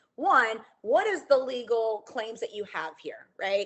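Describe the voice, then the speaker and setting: Her tone animated and her intonation lively, a woman speaks at a fairly high pitch. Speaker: lawyer for photographers. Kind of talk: webinar presentation. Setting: online webinar. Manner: fast.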